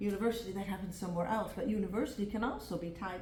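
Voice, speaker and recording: Speaking very fast, a woman is heard with audible room echo and noticeable background noise. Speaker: former parliament member, integration specialist. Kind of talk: conference presentation.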